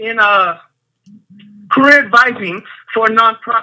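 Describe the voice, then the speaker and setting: A man's raised, projected voice, extremely high in pitch, with an American accent and fairly even intonation. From Los Angeles, US. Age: 20s. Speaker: caller, career advisor. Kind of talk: phone-in question.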